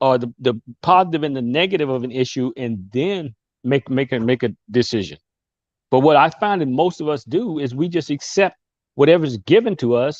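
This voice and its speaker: A man speaks fairly quickly with lively intonation. The sound is dry and close, with no echo. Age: 60s. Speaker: guest speaker on a discussion show. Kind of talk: casual discussion. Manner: halting.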